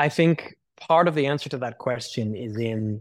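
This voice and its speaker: A man with an American accent and a normal speaking voice speaks at a fairly slow pace. His medium pitch varies in an ordinary way on a very clean recording with a silent background. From United States. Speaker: missionary and cafe owner. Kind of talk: interview.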